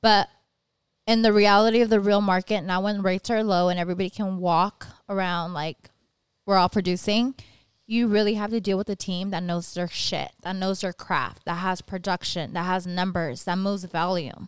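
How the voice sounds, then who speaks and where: In a very clean recording with a silent background and a dry, close sound with no echo, a woman with a normal speaking voice and an American accent talks at a moderate pace, her pitch medium and her intonation fairly even. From Southern California (Whittier). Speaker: mortgage lender. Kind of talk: casual chat. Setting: studio.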